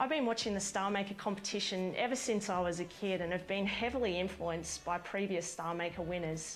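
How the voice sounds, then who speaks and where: A woman with an Australian accent talks at a fairly quick pace, with hardly any pauses and very even loudness. The room echo is audible, and there is noticeable background noise. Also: medium pitch for a woman, ordinary pitch variation. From central west New South Wales, Australia. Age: 20s. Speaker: country singer-songwriter. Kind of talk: scripted intro video.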